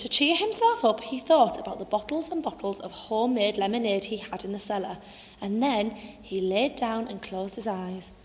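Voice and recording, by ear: At a moderate pace, a woman speaks at a medium pitch with lively intonation and a fairly bright tone.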